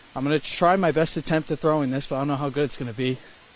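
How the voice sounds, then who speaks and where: A man with a fairly high voice speaks at a very fast pace with fairly even intonation. Noticeable background noise runs underneath. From New York State, Warwick. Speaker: TV news reporter. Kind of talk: news report; live shot. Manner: casual.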